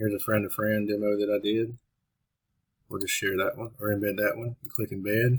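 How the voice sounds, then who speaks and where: Fairly quick, somewhat breathy speech from a man with a fairly low pitch and monotone, flat intonation. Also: big swings in loudness. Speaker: web developer demonstrating software. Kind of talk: tutorial. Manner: casual.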